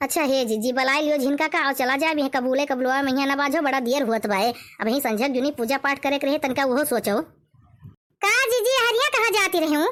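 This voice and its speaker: A cartoonish character voice, female-sounding and high-pitched, at a fairly quick pace. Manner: pleading, worried.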